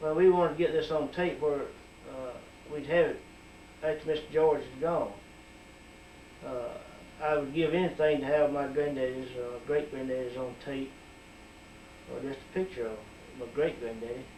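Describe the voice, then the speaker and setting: Over noticeable background noise and audible room echo, a man with an Alabama accent and a fairly high pitch speaks with fairly even intonation, big swings in loudness, and long, frequent pauses. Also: moderate pace. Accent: Southern US (Alabama). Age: 60s. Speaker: community member. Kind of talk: oral history interview.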